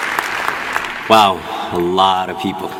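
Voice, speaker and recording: A man with an Ethiopian accent is heard with noticeable background noise and audible room echo. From Ethiopia, Oromia. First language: Oromo. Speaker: graduating student speaker. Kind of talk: commencement speech. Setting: stage with audience.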